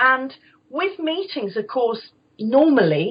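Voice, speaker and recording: A woman speaks at a high pitch with very wide pitch swings and an energetic tone. Her pace is fairly slow. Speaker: voice coach, former opera singer. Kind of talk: interview, coaching advice. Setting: podcast interview. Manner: projected, energetic.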